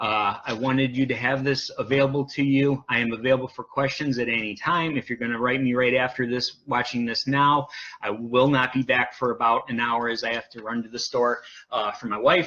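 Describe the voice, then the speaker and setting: Over noticeable background noise, a man speaks at a fairly quick pace. His medium-pitched voice stays flat and monotone. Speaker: CBD oil seller. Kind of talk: live sales presentation. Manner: stuttering; hesitant with many fillers.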